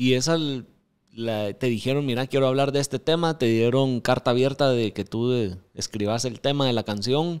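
The surroundings are quiet. A man's speech moves at a moderate rate, with ordinary pitch variation. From Guatemala. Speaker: podcast host. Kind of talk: interview. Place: studio. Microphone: studio mic.

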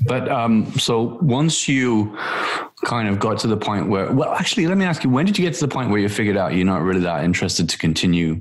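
A man's ordinary speaking voice, fairly low in pitch, fairly quick, lively in intonation and very even in loudness, over a quiet background. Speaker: podcast co-host. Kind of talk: casual chat. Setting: video call. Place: home room. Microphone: video call.

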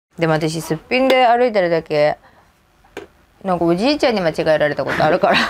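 A woman with a fairly low pitch, very wide pitch swings and a very fast pace broken by long, frequent pauses, over light background noise. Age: 30s. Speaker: mother of five; interviewee. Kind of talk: casual interview. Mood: light, joking. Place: home room.

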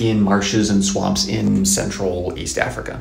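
Speaking at a moderate pace, a man is heard with audible room echo. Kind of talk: casual educational vlog. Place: home room. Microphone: earbuds.

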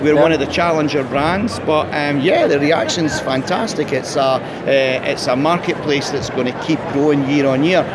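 Over loud background noise, a man with a Scottish accent talks fairly slowly at a fairly high pitch, with hardly any pauses and fairly even intonation. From Scotland. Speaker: drinks company owner. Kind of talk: interview. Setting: trade fair. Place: hall. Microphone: phone near.

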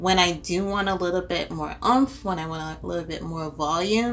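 A woman at a moderate pace, faint music in the background. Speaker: beauty vlogger. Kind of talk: casual vlog chat. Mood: relaxed, friendly. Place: home room.

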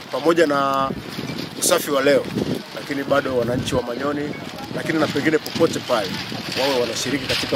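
Loud background noise surrounds a man talking at a very fast pace. His voice sounds dry, with no echo. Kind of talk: interview answer. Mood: earnest, civic appeal. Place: open country.

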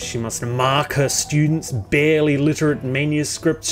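Music plays in the background as a man speaks in a monotone, flat intonation. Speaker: video essay narrator. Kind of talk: satirical commentary narration.

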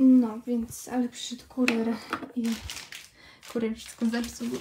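Noticeable background noise accompanies a woman talking at a fairly slow pace. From Poland. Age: 20s. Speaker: vlogger. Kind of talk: casual vlog. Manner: halting. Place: home room. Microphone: phone near.

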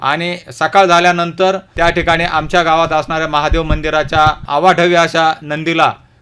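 Background noise is noticeable behind a man with a high voice. He speaks in a flat monotone. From Ahmednagar district, Maharashtra. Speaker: ex-soldier and farmer. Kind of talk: radio interview. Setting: radio studio. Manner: formal.

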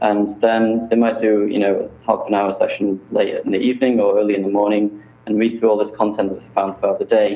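Speaking in a British accent, a man talks at a fairly quick pace with hardly any pauses, using a fairly low, monotone pitch and flat intonation. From UK. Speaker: startup founder; guest. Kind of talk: interview. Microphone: video call.

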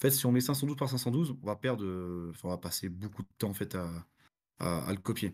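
Over a quiet background, a man with a fairly low pitch talks at a fairly quick pace with lively intonation. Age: 30s. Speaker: forensic analyst and pentester; forensic analyst. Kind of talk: technical talk with live demo. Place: home room. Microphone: webcam.

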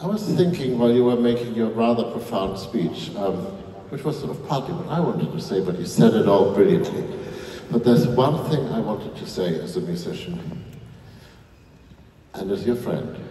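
A man speaks at a moderate pace with long, frequent pauses and very wide pitch swings. Audible room echo and light background noise are present. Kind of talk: stage speech. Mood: warm, grateful. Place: stage.

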